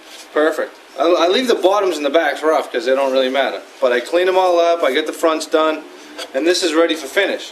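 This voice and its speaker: With noticeable background noise, a man in a Boston accent talks at a fairly quick pace, with fairly high pitch and ordinary pitch variation. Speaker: woodworker. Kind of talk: tutorial. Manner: casual, conversational.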